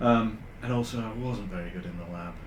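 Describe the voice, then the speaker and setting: With a northern English accent, a man talks at a moderate pace and a fairly low pitch. Audible room echo surrounds his voice. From northern England, Huddersfield. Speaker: AI consultant. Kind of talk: podcast interview. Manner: hesitant, many fillers.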